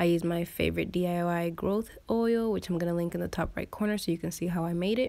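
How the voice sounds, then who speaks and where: Recorded very cleanly against a silent background, a woman with a slight non-native accent speaks at a fairly low pitch with fairly even intonation. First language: not English. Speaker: beauty vlogger. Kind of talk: voiceover tutorial. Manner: casual.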